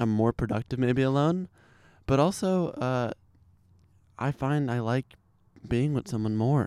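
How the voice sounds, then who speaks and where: A man with an American accent speaks at a fairly slow pace in a medium pitch, with ordinary pitch variation and long, frequent pauses. His tone is dark and mellow, and the very clean recording has a dry, close sound with no echo and a silent background. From Chicago. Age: 20s. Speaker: podcast guest. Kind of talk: casual chat. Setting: at his home.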